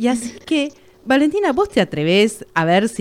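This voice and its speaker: A woman with a Rioplatense accent speaks with lively intonation. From Argentina, Buenos Aires. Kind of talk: casual interview.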